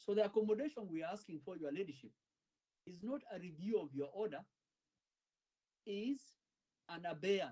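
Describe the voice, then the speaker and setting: Lively intonation and big swings in loudness mark this man's dark, mellow, high-pitched voice, which moves at a moderate pace with long, frequent pauses. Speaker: lawyer. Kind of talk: courtroom legal submission. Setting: courtroom. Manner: formal.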